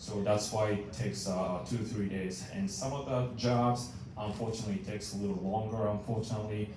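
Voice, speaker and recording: Over noticeable background noise and audible room echo, a man with a Japanese accent talks at a fairly quick pace with hardly any pauses, in a fairly low pitch with ordinary pitch variation. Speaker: maintenance manager. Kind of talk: meeting report. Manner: halting, many fillers.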